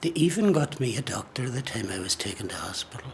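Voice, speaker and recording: Someone with an Irish accent talks at a moderate pace against noticeable background noise. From Ireland. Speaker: Irish traveller sharing experience. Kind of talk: testimony.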